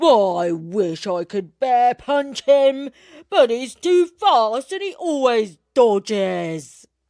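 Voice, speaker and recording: A put-on character voice moves at a very slow pace with a fairly high pitch and very wide pitch swings. The recording is very clean, with a silent background. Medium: read story.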